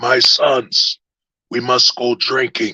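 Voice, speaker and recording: A man puts on a character voice at medium pitch. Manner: wise, paternal.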